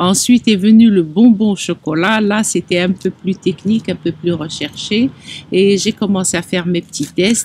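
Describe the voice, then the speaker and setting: A somewhat breathy female voice at a medium pitch, with ordinary pitch variation and a fairly slow pace. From Algeria (Oran). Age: 60s. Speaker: chocolate artisan. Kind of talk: interview testimony.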